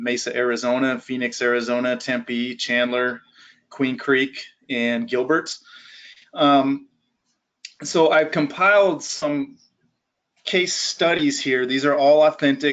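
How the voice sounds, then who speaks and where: The pace here is fairly slow. It is an ordinary speaking voice. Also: man. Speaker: physical therapist. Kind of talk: lecture.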